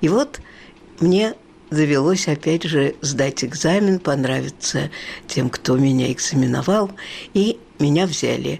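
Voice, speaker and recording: A woman speaks very slowly with very deep, low pitch, a dark, mellow tone and vocal fry. Her pitch varies in an ordinary way, her loudness stays very even, and long pauses come often. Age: 80s+. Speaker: retired museum guide. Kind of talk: interview.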